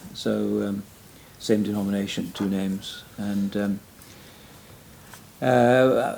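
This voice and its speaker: Very slowly and with long, frequent pauses, a man with a Welsh accent speaks in a fairly low pitch with ordinary pitch variation. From Wales. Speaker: retired pastor and church planter. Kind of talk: interview conversation. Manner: halting, many fillers.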